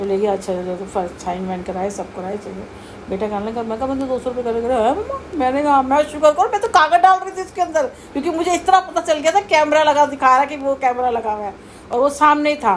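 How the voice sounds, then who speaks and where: A woman's high voice swings very widely in pitch while noticeable background noise carries on behind her. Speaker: vlogger. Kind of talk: casual storytelling. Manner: animated.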